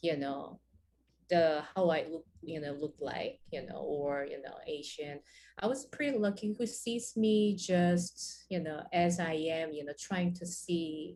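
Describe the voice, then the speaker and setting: A woman's fairly low voice of dark, mellow tone, at a fairly slow pace with ordinary pitch variation. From South Korea. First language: Korean. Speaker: jazz pianist and bandleader. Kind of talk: interview. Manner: halting, many fillers.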